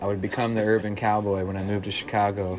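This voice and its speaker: A man talks at a very fast pace with a slight Southern accent. His fairly low voice stays monotone and flat. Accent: slight Southern, small town twang. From Central Illinois, small town. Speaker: folk singer-songwriter. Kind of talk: casual interview. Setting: bar.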